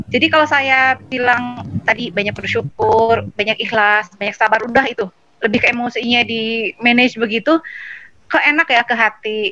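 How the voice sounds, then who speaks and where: A woman with a high voice and ordinary pitch variation talks as noticeable noise fills the background. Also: moderate pace. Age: 30s. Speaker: online seminar participant asking a question. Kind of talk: question in online Q&A. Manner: halting, many fillers.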